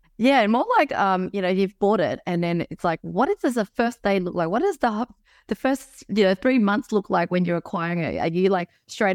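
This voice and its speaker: A woman with an Australian accent speaks at a moderate pace with ordinary pitch variation, recorded dry and close with no echo in a very clean recording with a silent background. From Melbourne, Australia. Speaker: podcast host. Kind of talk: interview.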